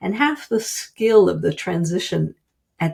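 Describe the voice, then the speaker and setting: A woman's dark, mellow, somewhat breathy voice at a very slow pace, with ordinary pitch variation. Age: 60s. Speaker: writer and business consultant. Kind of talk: interview.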